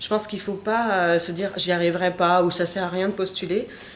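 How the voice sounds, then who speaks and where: Noticeable background noise is present throughout. A woman talks at a medium pitch. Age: 30s. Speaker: software engineer. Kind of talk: interview. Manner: hesitant, many filler sounds.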